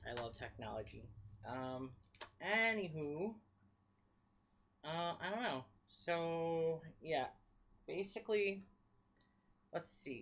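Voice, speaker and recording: This man talks at a very slow pace in a high pitch, his voice making very wide pitch swings between long, frequent pauses. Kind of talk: casual vlog talk to camera. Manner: stutters when reading aloud.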